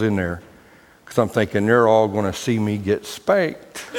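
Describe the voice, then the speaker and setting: Against noticeable background noise, a man speaks at a very fast pace in a fairly low pitch. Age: 50s. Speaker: pastor. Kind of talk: sermon.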